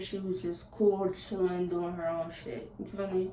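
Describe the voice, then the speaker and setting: Over noticeable background noise, a woman with a medium pitch speaks at a fairly slow pace. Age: 20s. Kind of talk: casual talk to camera. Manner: upbeat, chatty.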